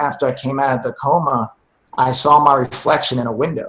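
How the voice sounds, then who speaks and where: A man's somewhat breathy, fairly high voice at a moderate pace, with fairly even intonation. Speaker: war veteran and speaker. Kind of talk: testimony.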